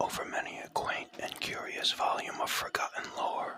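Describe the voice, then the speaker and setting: Over noticeable background noise, a whispered voice moves at a moderate pace. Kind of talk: whispered ASMR audiobook poetry reading.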